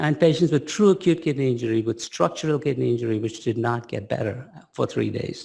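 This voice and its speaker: A man talks fairly quickly at a medium pitch, his tone dark and mellow with some vocal fry. His intonation is lively. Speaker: pediatric kidney researcher. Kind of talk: lecture. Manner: animated.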